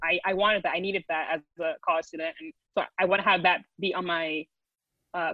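A woman talks at a fairly quick pace with fairly even intonation in an ordinary speaking voice. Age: 20s. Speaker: graphic designer and platform founder. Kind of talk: casual interview.

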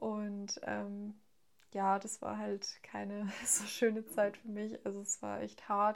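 The pace here is very slow. The speaker is a woman. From Hesse, Germany (near Frankfurt). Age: 20s. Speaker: student sharing eating disorder experience. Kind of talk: casual interview, personal testimony. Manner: hesitant, many fillers.

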